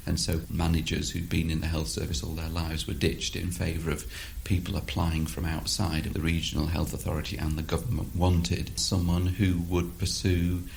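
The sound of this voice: Showing little pitch movement, a man speaks at an extremely low pitch with vocal fry. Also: moderate pace.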